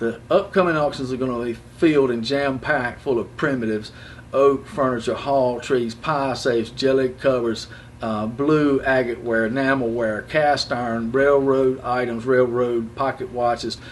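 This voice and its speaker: A medium-pitched man with an American accent at a moderate pace, with noticeable background noise. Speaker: auctioneer. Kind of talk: auction promo talk to camera. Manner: casual, enthusiastic.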